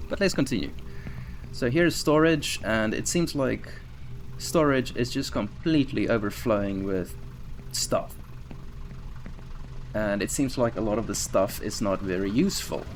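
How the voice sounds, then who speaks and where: Against noticeable background noise, a man of medium pitch speaks at a moderate pace. His pitch swings very widely, and he takes long, frequent pauses. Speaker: environment artist doing level design walkthrough. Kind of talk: game walkthrough commentary. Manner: speaking louder than usual; casual, thinking aloud.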